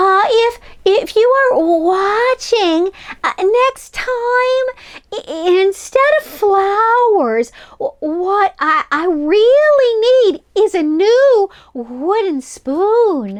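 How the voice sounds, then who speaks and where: This voice is a put-on character voice. Its delivery is very slow. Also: woman, extremely high pitch for a woman. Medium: read story. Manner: stammering, breathless.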